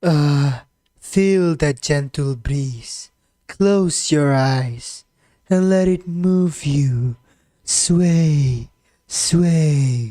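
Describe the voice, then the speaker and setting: In a put-on character voice with a low-to-middle pitch, the speaker talks at a very slow pace. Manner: sleepy, slow, soothing.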